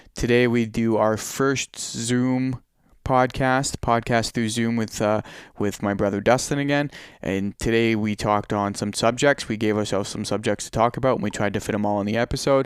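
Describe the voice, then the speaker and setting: At a moderate pace, a man has an unremarkable speaking voice, medium in pitch with fairly even intonation. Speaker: podcast host. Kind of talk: casual chat. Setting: video call.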